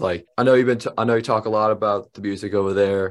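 A man talks at a very fast pace with a fairly low pitch. His intonation is monotone and flat. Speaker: interviewer and drum instructor. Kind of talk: casual interview.

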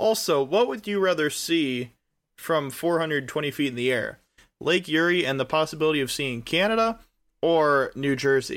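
At a moderate pace, a man with a fairly high voice and ordinary pitch variation speaks in a plain, everyday voice. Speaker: podcast co-host. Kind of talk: casual chat. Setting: remote recording from separate time zones.

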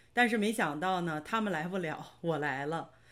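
The intonation is lively on a very clean recording with a silent background. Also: woman. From northern China (Hebei, Baoding). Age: 40s. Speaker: nurse and online course student. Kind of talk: interview testimony.

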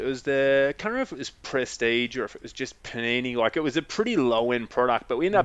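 A man speaks in an Australian accent at a medium pitch. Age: 40s. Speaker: trading card business owner. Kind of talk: casual chat.

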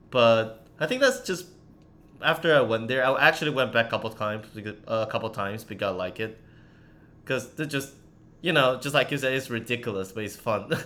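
A man with a Chinese accent speaks at a fairly quick pace in a medium pitch, his tone bright and sharp and his pitch variation ordinary. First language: Mandarin Chinese. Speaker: podcast host and former university student. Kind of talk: casual chat.

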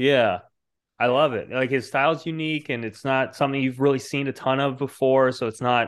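Against a quiet background, a man with an ordinary speaking voice and medium pitch speaks at a fairly quick pace with fairly even intonation. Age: 30s. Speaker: comic book writer and publisher. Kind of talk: casual chat.

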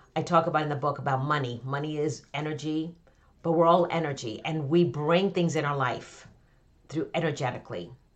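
With an American accent, a woman speaks at a very deep, low pitch with fairly even intonation. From Connecticut, US. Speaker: author and business coach. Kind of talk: podcast interview.

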